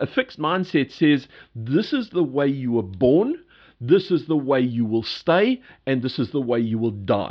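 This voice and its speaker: A man speaks in a British accent at a fairly slow pace. His pitch sits fairly high. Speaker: podcast host, change leadership consultant and speaker. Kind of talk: solo podcast monologue. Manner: hesitant, many fillers.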